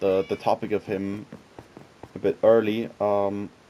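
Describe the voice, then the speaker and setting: Noticeable background noise sits behind a man who talks at a fairly slow pace with a fairly low pitch. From Switzerland. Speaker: gaming YouTuber. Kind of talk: casual gaming commentary. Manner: hesitant, many fillers.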